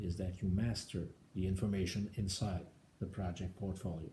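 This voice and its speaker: Man with a strong French Canadian accent, very deep and low in pitch, dark and mellow in tone, somewhat breathy, fairly even intonation, moderate pace. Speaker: government IT executive. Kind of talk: speech proposal presentation. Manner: halting, frequent uh fillers.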